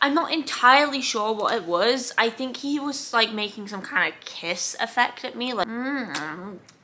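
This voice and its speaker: Over noticeable background noise, a woman with a fairly high voice speaks at a moderate pace in an animated tone. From South London, England. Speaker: vlogger. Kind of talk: casual storytelling vlog.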